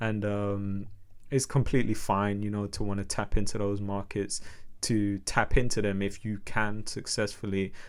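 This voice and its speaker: A man with a London accent speaks in a fairly low, monotone, flat voice at a moderate pace. Room echo can be heard. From London, England. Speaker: music artist. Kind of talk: podcast interview.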